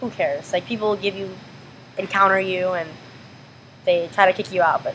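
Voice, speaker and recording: Noticeable background noise accompanies a woman with an American accent. She talks at a fairly quick pace in a monotone, flat intonation. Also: medium pitch for a woman. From US Pacific Northwest, Washington. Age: 20s. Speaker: college student with Tourette syndrome, interviewee. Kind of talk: interview. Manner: halting, with repetitions and possible vocal tics.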